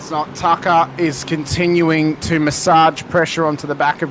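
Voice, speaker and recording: Monotone, flat delivery from a man with a fairly high pitch, over noticeable background noise. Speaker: sim racing commentator. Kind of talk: live commentary. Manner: loud. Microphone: static, mic crackles from loud speech.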